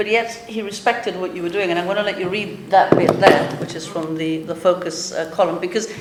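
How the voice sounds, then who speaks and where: There is audible room echo and noticeable background noise. A woman speaks with ordinary pitch variation. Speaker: festival interviewer. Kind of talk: interview.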